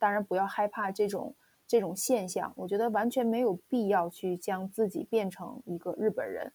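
Dry, close sound with no echo around a dark, mellow tone. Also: woman, medium pitch for a woman, ordinary pitch variation, moderate pace. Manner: halting, many fillers.

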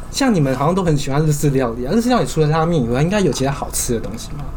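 Over noticeable background noise and audible room echo, a man with fairly high pitch talks at a very fast pace with lively intonation. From southern Taiwan. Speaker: podcast co-host. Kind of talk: casual chat. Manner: animated.

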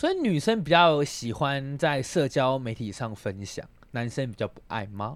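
Lively in intonation, a man with medium pitch talks at a fairly slow pace. He has a normal speaking voice. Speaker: podcast co-host. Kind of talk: casual chat.

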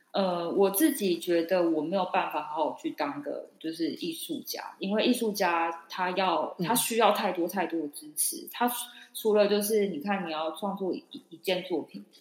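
A woman's medium-pitched voice at a moderate pace, with lively intonation, big swings in loudness and noticeable background noise. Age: 30s. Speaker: podcast co-host. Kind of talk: casual chat.

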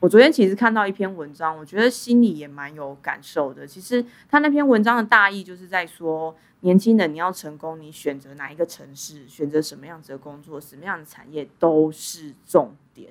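Delivered in a plain, everyday voice, the speech moves at a moderate pace with hardly any pauses, lively intonation and big swings in loudness. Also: woman, fairly low pitch for a woman, very clean recording, silent background. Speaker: podcast host. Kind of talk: casual interview. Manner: frequent laughter.

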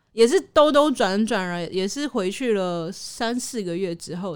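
A woman speaks in a Taiwanese accent. Her intonation is lively. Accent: Taiwanese Mandarin. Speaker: TV news programme producer. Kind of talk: casual chat. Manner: timid-sounding.

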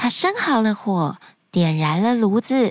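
Her pitch swings very widely as the woman speaks at a very slow pace. The sound is dry and close with no echo, and the recording is very clean with a silent background. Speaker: children's storyteller podcast host. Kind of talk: bedtime storytelling. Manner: soft-spoken.

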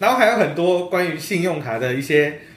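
The speech comes at a fairly quick pace with lively intonation. There is audible room echo and noticeable background noise. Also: man. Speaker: podcast guest. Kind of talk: casual chat.

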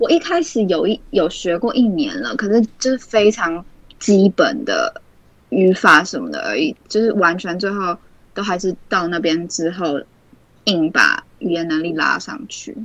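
With an ordinary speaking voice, a woman of medium pitch speaks fairly slowly and with lively intonation. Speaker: university student. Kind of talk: casual chat.

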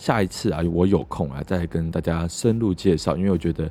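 Here a man talks at a moderate pace in a very deep, low voice. His tone is dark and mellow, with ordinary pitch variation. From Taiwan, Keelung. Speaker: podcast host. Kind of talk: casual solo podcast talk.

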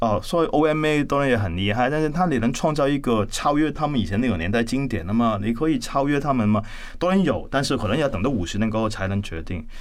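Speech comes at a very fast pace in a Cantonese accent. Audible room echo surrounds it. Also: man. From Hong Kong. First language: Cantonese (speaking Chinese). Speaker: architect and university lecturer. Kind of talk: interview conversation. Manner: hesitant, many fillers.

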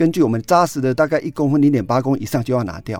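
A man has an unremarkable speaking voice, with a medium pitch and ordinary pitch variation. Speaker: lung cancer physician. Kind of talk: interview.

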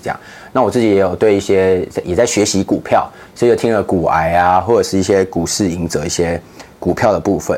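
Using an ordinary speaking voice, a man talks at a fairly quick pace, his fairly low pitch showing ordinary pitch variation. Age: 20s. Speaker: ministry project coordinator. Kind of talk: interview.

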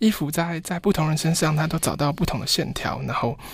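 A quiet man's voice with vocal fry, fairly high pitch, ordinary pitch variation and a fairly quick pace. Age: 30s. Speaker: fashion designer. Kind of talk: interview. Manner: very quiet, low volume; halting, repeats words.

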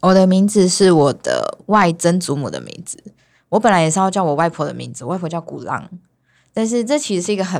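A woman with a plain, everyday voice speaks at a fairly quick pace with a fairly low pitch and ordinary pitch variation. Her loudness swings widely on a very clean recording with a silent background. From Taiwan, Hualien, Sakizaya village. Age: young. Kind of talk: casual chat.

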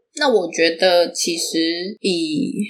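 A woman at medium pitch talks at a very slow pace with lively intonation. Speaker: podcast host and fiction writer. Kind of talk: casual solo talk on writing.

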